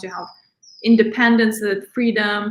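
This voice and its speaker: A woman's somewhat breathy voice sits at a fairly high pitch. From outside the US, immigrant. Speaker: financial advisor. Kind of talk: interview, financial advice.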